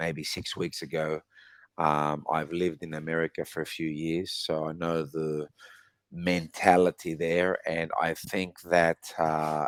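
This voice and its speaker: An Australian accent marks this man's voice. His pitch is very deep and low, and his intonation is monotone and flat. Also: fairly slow pace. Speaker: English conversation tutor. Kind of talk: casual chat.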